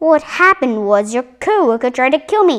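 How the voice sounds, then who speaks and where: A woman uses a put-on character voice at a high pitch with very wide pitch swings. She keeps a moderate pace. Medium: read story.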